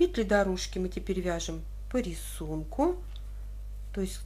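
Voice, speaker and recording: Room echo can be heard around a woman who talks rather slowly. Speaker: knitting tutorial host. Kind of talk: tutorial.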